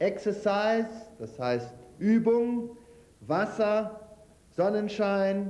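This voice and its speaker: In a room with audible echo, a man speaks very slowly in a high voice. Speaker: lecturer on health and nutrition; lecturer on health. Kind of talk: lecture with cooking demonstration. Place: hall.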